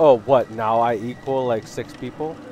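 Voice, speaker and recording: At a fairly slow pace, a man speaks with ordinary pitch variation in a dry sound with no echo, over light background noise. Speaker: gamer streaming with friends. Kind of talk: casual gaming banter.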